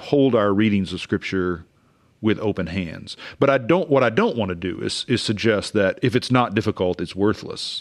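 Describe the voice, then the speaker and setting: A man speaks in a normal speaking voice at medium pitch with an American accent, lively intonation, and a moderate pace against a quiet background. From Oklahoma, US. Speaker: theology professor. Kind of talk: interview conversation.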